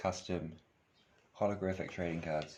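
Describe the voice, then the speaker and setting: The speaker has a New Zealand accent and ordinary pitch variation. Room echo is audible. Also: man. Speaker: crafter. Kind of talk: tutorial. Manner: casual, hesitant with fillers.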